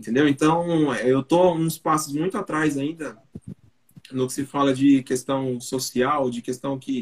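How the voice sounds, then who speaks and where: The delivery is fairly slow, and the intonation stays fairly even. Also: man, fairly high pitch for a man. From South Zone of São Paulo, Brazil. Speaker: production engineer and 3D printing educator. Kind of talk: casual chat.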